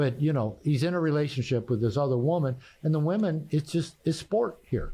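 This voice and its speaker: A man with a West Coast accent speaks fairly quickly with lively intonation, a somewhat breathy, dark, mellow tone, and a quiet background. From US Pacific Northwest, Bellevue near Seattle. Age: 60s. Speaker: therapist and author. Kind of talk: podcast interview. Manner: halting.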